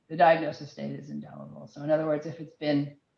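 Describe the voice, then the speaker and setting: Her voice carries vocal fry. The room adds an audible echo, and the speaker is a woman. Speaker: health IT policy presenter. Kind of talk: webinar presentation. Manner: fast.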